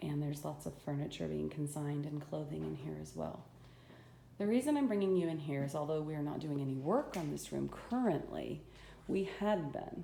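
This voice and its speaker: A woman talks at a fairly quick pace, with audible echo from the room. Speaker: home renovator giving a walk-through. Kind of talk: casual video walk-through. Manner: halting, with many fillers.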